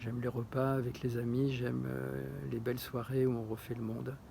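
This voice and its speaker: A man's dark, mellow, somewhat breathy voice at medium pitch and a fairly slow pace. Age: 60s. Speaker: retired chef applying to a TV show. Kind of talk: casting application video monologue. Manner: hesitant, many fillers and repetitions.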